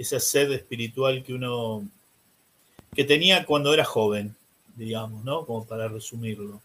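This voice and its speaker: A man speaks at a fairly slow pace with a medium pitch and a bright, sharp tone. His pitch varies in an ordinary way, and long pauses come often. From Argentina, Buenos Aires. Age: 60s. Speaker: priest. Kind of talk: interview.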